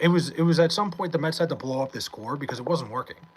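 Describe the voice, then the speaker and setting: Against noticeable background noise, a man with an American accent and a high pitch talks at a very fast pace. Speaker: streamer reading chat comments aloud. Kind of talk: casual, conversational. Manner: fast talker.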